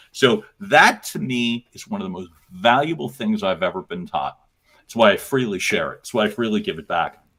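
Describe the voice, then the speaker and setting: A man's voice sits at medium pitch, bright and sharp, with an animated tone and vocal fry. At a moderate pace, it swings very widely in pitch and greatly in loudness. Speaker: voice and messaging coach. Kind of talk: live coaching conversation. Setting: live stream.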